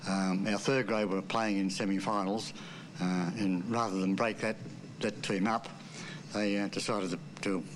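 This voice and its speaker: Fairly low-pitched man with an Australian accent, at a moderate pace with long, frequent pauses, fairly even intonation and very even loudness. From Sydney, Australia. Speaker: former rugby league player. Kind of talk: interview reminiscence.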